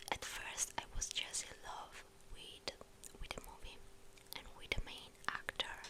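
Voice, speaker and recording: A woman whispering at a fairly slow pace over noticeable background noise. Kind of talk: ASMR chat. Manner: whispered, soft-spoken.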